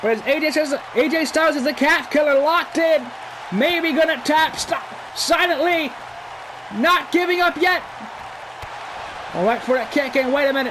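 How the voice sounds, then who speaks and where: The speech moves at a moderate pace with long, frequent pauses. Crowd noise fills the background. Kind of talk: live commentary. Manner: loud, shouting; animated.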